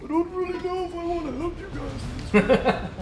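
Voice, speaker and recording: A put-on character voice at a moderate pace over clear background noise. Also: man, extremely high pitch for a man. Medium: actual play. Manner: cranky, rambling.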